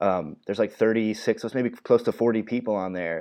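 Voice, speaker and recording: A man speaks with an American accent in an unremarkable speaking voice. His pitch is fairly low and his pace moderate. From northern US. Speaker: strength coach podcast host. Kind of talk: casual chat.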